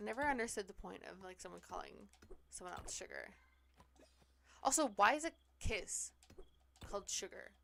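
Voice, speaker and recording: At a moderate pace, a woman with a Pacific Northwest accent speaks with long, frequent pauses. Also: big swings in loudness. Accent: Pacific Northwest, drops T's. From US Pacific Northwest. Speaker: streamer. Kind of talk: casual chat. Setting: live stream.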